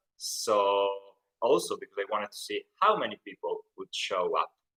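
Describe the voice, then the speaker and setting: The voice is raised and projected, with a bright, sharp tone and ordinary pitch variation. It moves at a fairly slow pace in a dry, close sound with no echo. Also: man. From northern Italy, Turin (Piedmont). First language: Italian. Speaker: Italian language teacher, YouTuber. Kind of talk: live stream Q&A. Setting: live stream. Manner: improvised, casual.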